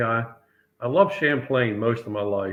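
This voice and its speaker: A man speaks with an American accent at a medium pitch. His pace is moderate. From Maryland, Chesapeake Bay. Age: 60s. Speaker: tournament angler. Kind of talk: casual interview.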